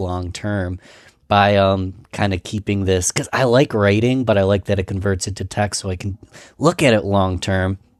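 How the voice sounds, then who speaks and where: A man with an ordinary speaking voice talks at a fairly low pitch and moderate pace with fairly even intonation, in a very clean, dry, close recording with a silent background and no echo. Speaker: podcast host, marketer. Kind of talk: podcast host conversation.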